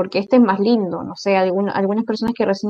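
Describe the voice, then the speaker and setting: A woman talks at a medium pitch with fairly even intonation. It is a plain, everyday voice. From southern Chile. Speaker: podcast co-host. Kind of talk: casual chat.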